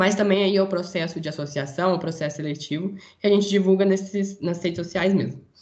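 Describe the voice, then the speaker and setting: A man is speaking. His delivery moves along rather briskly. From Brazil, interior of São Paulo state. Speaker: engineering student, student federation director. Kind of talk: casual interview.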